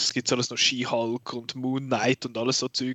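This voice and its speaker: A man with a Swiss accent speaks at a medium pitch and a moderate pace in a monotone, flat intonation. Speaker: film podcast host. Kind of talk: casual chat.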